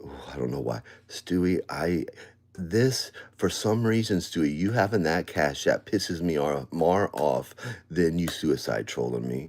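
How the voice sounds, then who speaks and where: With a very deep, low pitch and vocal fry, a man talks at a fairly slow pace with lively intonation on a very clean recording with a silent background. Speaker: live streamer. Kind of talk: casual live stream talk. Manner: loud.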